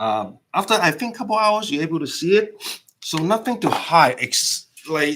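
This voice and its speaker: A man's high, bright and sharp voice at a moderate pace, animated, with very wide pitch swings. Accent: non-native. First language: not English. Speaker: permanent makeup artist and instructor. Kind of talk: live stream demo chat. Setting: live stream. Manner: animated, repetitive.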